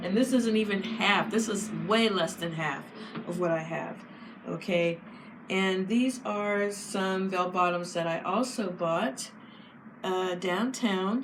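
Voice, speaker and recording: A woman's medium-pitched voice at a very slow pace with ordinary pitch variation, amid noticeable background noise and audible room echo. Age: 50s. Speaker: fashion vlogger. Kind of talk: casual chat.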